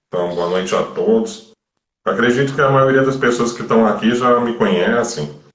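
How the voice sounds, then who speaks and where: A moderate pace with audible room echo. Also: man. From Brazil, Florianópolis. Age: 30s. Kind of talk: live stream interview. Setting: online live stream.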